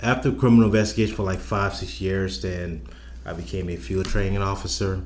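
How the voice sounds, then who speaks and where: A man's very deep, low, somewhat breathy voice with very wide pitch swings and audible room echo. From South Carolina Lowcountry, Charleston. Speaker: public safety director. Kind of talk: interview. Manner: halting, many fillers.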